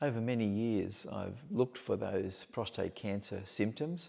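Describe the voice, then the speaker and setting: A man's fairly low, dark, mellow voice with vocal fry, over a quiet background. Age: 70s. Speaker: prostate cancer patient sharing his story. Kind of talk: interview. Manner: measured, some hesitations.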